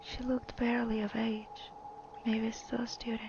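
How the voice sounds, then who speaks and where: Someone is whispering, soft-spoken. Background noise is noticeable. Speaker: storyteller. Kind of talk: reading aloud.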